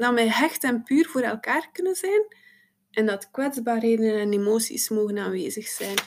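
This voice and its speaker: An unremarkable speaking voice from a woman, fairly high in pitch, with lively intonation at a moderate pace. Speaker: psychosomatic therapist. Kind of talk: interview.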